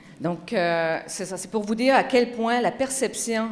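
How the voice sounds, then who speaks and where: A woman speaks at a moderate pace with a Magdalen Islands accent, her pitch medium with ordinary variation. Audible room echo surrounds her voice. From Quebec, Magdalen Islands. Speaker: communications researcher. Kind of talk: conference talk. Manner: animated.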